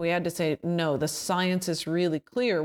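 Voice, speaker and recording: Recorded very cleanly with a silent background and a dry, close sound with no echo, a woman with a Canadian accent speaks at a moderate pace and fairly low pitch, an ordinary speaking voice. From Canada. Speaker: climate activist. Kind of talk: interview conversation.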